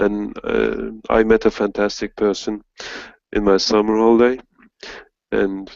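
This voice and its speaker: A man speaks at a fairly slow pace with a Turkish accent. His pitch is fairly low. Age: 40s. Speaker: English teacher. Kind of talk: casual chat.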